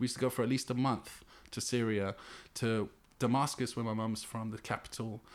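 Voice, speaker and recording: A man in a London accent talks at a fairly quick pace. His medium-pitched voice stays monotone and flat. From West London (Ealing). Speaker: hip hop artist and graffiti writer. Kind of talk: casual chat. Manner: halting.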